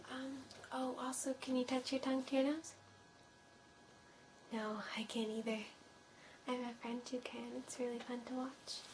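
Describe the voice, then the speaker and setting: There is noticeable background noise as a woman speaks with long, frequent pauses. Her high-pitched voice stays monotone and flat. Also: moderate pace. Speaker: ASMR artist. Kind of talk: role-play. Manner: soft-spoken.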